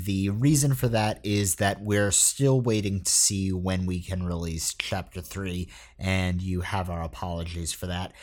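An unremarkable speaking voice from a man, fairly slow, with ordinary pitch variation on a very clean recording, silent background. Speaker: podcast creator and interviewer. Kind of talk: casual interview, with a scripted-style statement at the start. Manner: apologetic, sombre in the opening statement.

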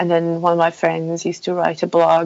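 A woman's fairly low voice at a moderate pace, monotone and flat in intonation. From Poland. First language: Polish. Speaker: mountain bike website founder. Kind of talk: interview conversation. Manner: halting, many fillers.

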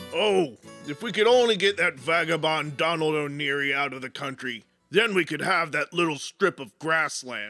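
Delivered at a moderate pace, the speech has faint music behind it. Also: man, fairly high pitch for a man. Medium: audio drama. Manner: scheming, wheedling.

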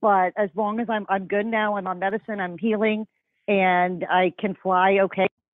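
A woman with an American accent speaks at a moderate pace and medium pitch in a monotone, flat way.

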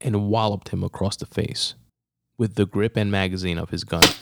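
Against a quiet background, this is plain reading aloud with fairly even intonation.

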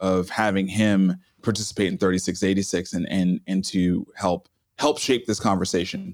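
A man with a normal speaking voice talks at a moderate pace, his pitch fairly low and his intonation fairly even, in a very clean recording with a silent background. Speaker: entrepreneur and author. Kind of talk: interview conversation.

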